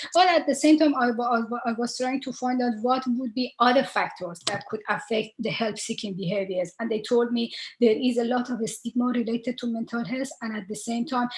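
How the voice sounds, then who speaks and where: Against noticeable background noise, a woman with an Iranian accent talks at a fairly quick pace, her fairly high pitch showing ordinary variation. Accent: Iranian (Persian) English. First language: Persian. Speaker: researcher. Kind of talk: panel talk. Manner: halting, many fillers.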